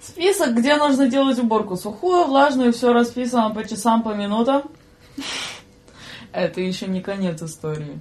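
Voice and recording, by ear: A woman's fairly high voice with a slightly mellow tone, lively intonation and a moderate pace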